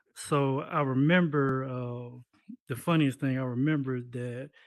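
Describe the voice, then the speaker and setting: A man with an American accent uses a normal speaking voice at a medium pitch with fairly even intonation. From US Midwest, Decatur Illinois. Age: 30s. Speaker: game developer. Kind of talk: interview talk on stage.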